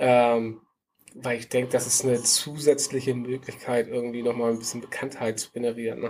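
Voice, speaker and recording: Delivery comes at a fairly quick pace with monotone, flat intonation. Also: man, medium pitch for a man. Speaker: podcast co-host, tech worker. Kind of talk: casual chat. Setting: video call.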